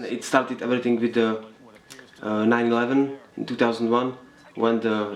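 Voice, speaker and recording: Over noticeable background noise, a man talks at a medium pitch and a moderate pace with monotone, flat intonation. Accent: Czech. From Czech Republic, Nové Sedlo near Karlovy Vary. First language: Czech. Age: 20s. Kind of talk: documentary interview. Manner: halting.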